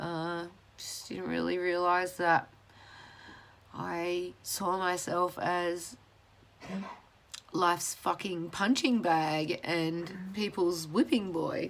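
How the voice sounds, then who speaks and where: A woman with an Australian accent and a fairly low pitch speaks at a very slow pace. Her intonation is fairly even, with long, frequent pauses. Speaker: mental health mentor. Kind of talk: casual vlog talk to camera.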